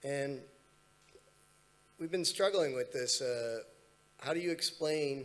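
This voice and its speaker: A man with a Los Angeles accent talks with ordinary pitch variation. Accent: American, Los Angeles. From US, Los Angeles. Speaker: panelist. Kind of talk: panel discussion. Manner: halting, many fillers.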